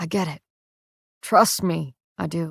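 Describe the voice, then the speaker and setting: A woman uses a put-on character voice that is raspy and fairly low in pitch. The sound is dry and close, with no echo. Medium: read story. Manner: warm, teasing.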